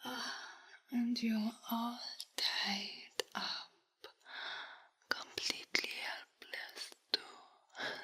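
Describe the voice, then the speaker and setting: In a put-on character voice that sounds female, someone speaks very slowly and raspily at a fairly high pitch, leaving long, frequent pauses. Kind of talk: audio roleplay.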